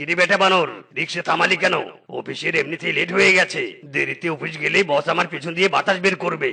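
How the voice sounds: Using a cartoonish character voice, a man speaks at a moderate pace and a high pitch.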